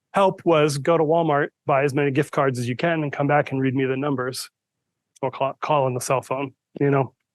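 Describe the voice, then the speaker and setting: Fairly quick and fairly high, a man's voice carries fairly even intonation over a quiet background, with dry, close sound and no echo. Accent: American. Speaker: IT manager giving staff training. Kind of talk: presentation to staff. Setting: room with live audience, recorded to Zoom. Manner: soft-spoken; hesitant, many fillers.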